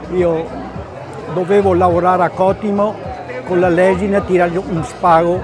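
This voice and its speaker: A man's high voice in a flat monotone at a fairly slow pace, with audible room echo and music in the background. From Veneto, Treviso area. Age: 80s+. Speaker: company founder. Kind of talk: interview. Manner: halting.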